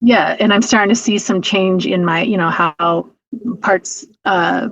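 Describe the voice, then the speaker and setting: Medium pitch from a woman, her intonation varying in an ordinary way. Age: 50s. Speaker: client of a health coach. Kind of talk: interview. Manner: fast.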